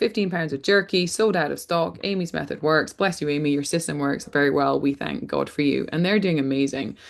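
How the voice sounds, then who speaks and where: A woman with a Scottish accent speaks at a moderate pace with ordinary pitch variation against a quiet background. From Scotland. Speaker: rancher and farm marketing coach. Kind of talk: webinar workshop presentation.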